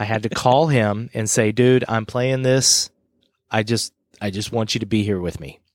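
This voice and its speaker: This man talks at a moderate pace with a medium pitch. His pitch varies in an ordinary way. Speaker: podcast co-host. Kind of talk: casual chat. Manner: animated, jokey.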